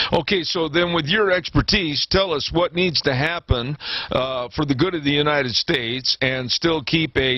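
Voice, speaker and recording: At a fairly slow pace, a man talks in a fairly high pitch over noticeable background noise. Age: 70s. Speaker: radio host. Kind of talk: radio interview.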